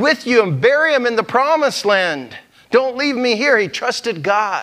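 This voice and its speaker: At a moderate pace, a man speaks with a bright, sharp tone and lively intonation against a quiet background. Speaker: pastor. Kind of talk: sermon. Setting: church. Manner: conversational, folksy. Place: church. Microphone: lapel.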